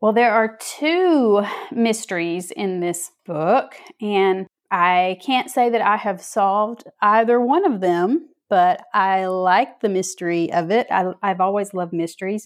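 Against a quiet background, a woman with a Southern US accent speaks at a fairly slow pace and medium pitch, with ordinary pitch variation. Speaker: author. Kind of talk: interview.

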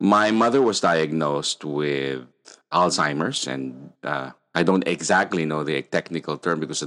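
A man with a very deep, low pitch talks at a moderate pace. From Philippines. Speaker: podcast host, mindfulness. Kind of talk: casual chat.

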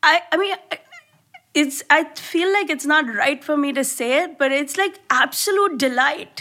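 A woman speaks in a raised, projected voice with a high pitch and a bright, sharp tone. Her pace is fairly slow, and her pitch varies in an ordinary way. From India. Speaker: comedian. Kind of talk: casual chat. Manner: animated.

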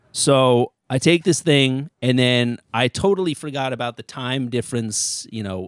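Speaking with an American accent, a man uses an ordinary speaking voice at medium pitch with ordinary pitch variation, talking at a fairly slow pace with hardly any pauses, in a dry, close sound with no echo on a very clean recording with a silent background. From Connecticut (Ridgefield). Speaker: stand-up comedian. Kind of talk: casual chat.

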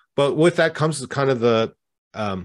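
Very wide pitch swings and vocal fry in a Canadian accent. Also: man. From Canada. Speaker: author and community manager. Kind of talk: casual interview.

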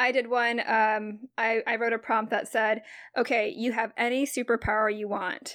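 A woman with a fairly high voice speaks at a moderate pace in a monotone, flat intonation. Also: very clean recording, silent background. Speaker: podcast co-host, writer. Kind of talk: casual chat.

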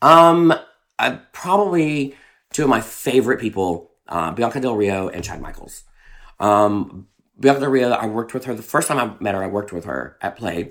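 Lively intonation marks this man's medium-pitched voice, in a Southern US accent. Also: moderate pace. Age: 30s. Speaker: drag performer. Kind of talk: casual chat.

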